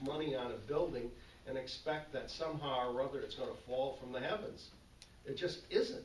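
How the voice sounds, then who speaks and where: Speech comes at a moderate pace. Noticeable background noise and audible room echo surround it. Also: man. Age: 70s. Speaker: board of finance member. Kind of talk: public meeting discussion. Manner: halting, repetitive.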